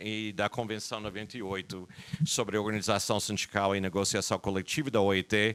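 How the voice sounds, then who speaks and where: In a very clean recording with a silent background, a man with a strong American accent speaks at a moderate pace and a fairly low pitch. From United States. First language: English (speaking Portuguese). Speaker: labor lawyer. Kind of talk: lecture. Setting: conference hall with audience. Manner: halting, with repetitions.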